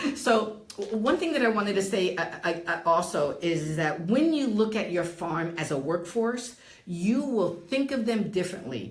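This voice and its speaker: A woman with a New Jersey accent talks at a moderate pace and medium pitch, her pitch swinging very widely. Noticeable background noise and audible room echo fill the recording. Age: 60s. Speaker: real estate and title professional. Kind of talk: interview. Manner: halting.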